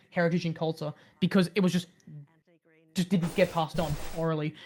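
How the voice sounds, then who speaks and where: The speaker talks very fast in an Australian accent. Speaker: streamer. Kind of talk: casual chat. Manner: halting, many fillers.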